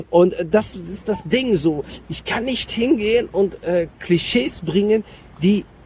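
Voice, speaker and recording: Over noticeable background noise, a man talks at a high pitch with lively intonation. He speaks at a very slow pace. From Germany, Mönchengladbach area. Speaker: comedian and actor. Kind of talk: casual interview. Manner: hesitant with many fillers.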